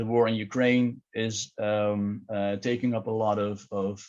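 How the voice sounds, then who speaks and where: The pitch of this man's voice is fairly low. His intonation stays monotone and flat. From Netherlands. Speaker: terrorism researcher. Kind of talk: lecture presentation. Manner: halting, many fillers and repetitions.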